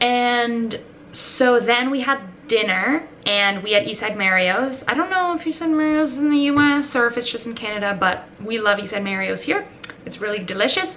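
Lively intonation at a moderate pace over light background noise. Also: woman. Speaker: vlogger. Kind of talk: casual vlog chat. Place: home room. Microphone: phone near.

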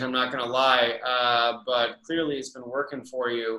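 Speech comes at a moderate pace over a quiet background. Room echo is audible. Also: man. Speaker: comic book writer. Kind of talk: interview host talk. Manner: casual, hesitant. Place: home room. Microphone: webcam.

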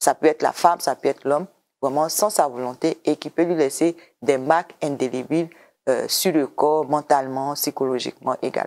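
Her pitch is very deep and low for a woman, her pace moderate, and her intonation fairly even. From Côte d'Ivoire. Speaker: government program director; interview guest. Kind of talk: TV interview. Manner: hesitant, repeats words. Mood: calm, explanatory. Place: studio. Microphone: lapel.

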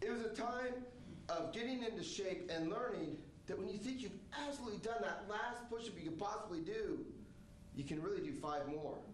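With an American accent, a man talks at a fairly quick pace in a high pitch and lively intonation, amid light background noise and audible room echo. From Oregon. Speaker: army veteran. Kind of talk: stage storytelling performance. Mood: reflective, earnest. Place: stage.

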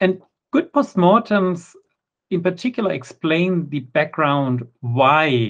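A man at a fairly slow pace, ordinary pitch variation, quiet background. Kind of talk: conference talk.

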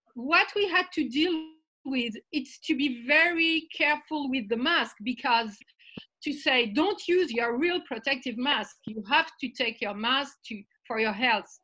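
A raised, projected woman's voice, high-pitched and bright and sharp in tone, with lively intonation at a fairly slow pace over a quiet background. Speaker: arts and environment campaigner panelist. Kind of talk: panel discussion. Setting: video call. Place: home room. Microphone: video call.

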